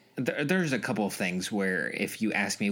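Here a man has an unremarkable speaking voice at a fairly low pitch. His pace is moderate, with ordinary pitch variation. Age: 30s. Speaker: podcast co-host. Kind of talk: casual chat.

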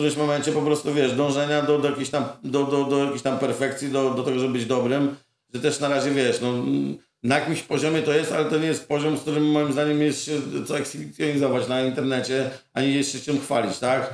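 At a very fast pace, a man with a fairly high pitch speaks in monotone, flat intonation. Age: 40s. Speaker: muralist painter. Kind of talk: casual chat. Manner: halting, many fillers.

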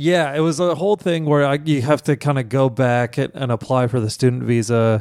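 With an American accent, a man talks fairly quickly in a normal speaking voice at medium pitch, using ordinary pitch variation and very even loudness. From US Midwest, Kansas City. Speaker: stand-up comedian. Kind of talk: casual chat. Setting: hotel room.

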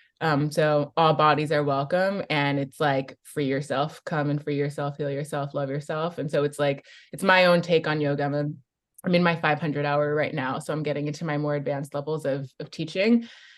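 Fairly quick speech in a Californian accent against a quiet background. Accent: Californian American. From US West Coast (San Francisco Bay Area). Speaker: coach and activist. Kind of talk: interview conversation.

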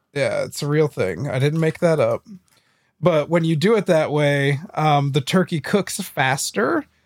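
A man talks fairly slowly in a normal speaking voice, fairly high in pitch with ordinary variation. The sound is dry and close, without echo. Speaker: podcast co-host, video game talk. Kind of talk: casual banter.

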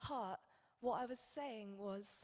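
Spoken in a British accent, the delivery is very slow with fairly even intonation. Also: woman. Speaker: church member giving testimony. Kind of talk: testimony.

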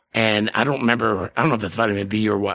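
A man with an American accent, fairly low-pitched, talking very fast with ordinary pitch variation. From New England, US. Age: 40s. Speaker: podcast guest. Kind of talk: casual chat. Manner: rambling, profane.

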